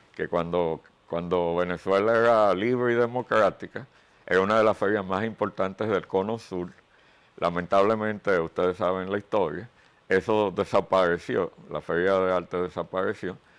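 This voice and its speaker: Speaking at a moderate pace, a man has a very deep, low pitch and fairly even intonation. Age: 60s. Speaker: painter. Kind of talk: interview. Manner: hesitant fillers.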